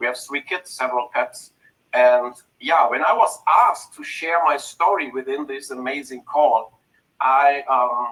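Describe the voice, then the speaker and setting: A man with a German accent speaks in a bright, sharp tone at fairly high pitch. His pace is fairly slow and his pitch variation ordinary. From Germany, North Rhine-Westphalia. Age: 50s. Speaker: network marketing entrepreneur. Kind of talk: personal story on a group video call. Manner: deliberately slow for translators.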